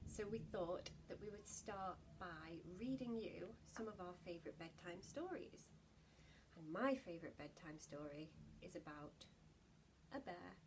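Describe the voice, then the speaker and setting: A woman with vocal fry and a warm, gentle tone speaks at a fairly low pitch and a fairly slow pace, with lively intonation, long, frequent pauses and noticeable background noise. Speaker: actor reading bedtime story. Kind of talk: bedtime story reading aloud to children. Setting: home video, lockdown. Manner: warm, gentle, animated storyteller; playful, lilting rhythm with rhymes. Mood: warm, gentle, expressive. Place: home room. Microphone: phone near.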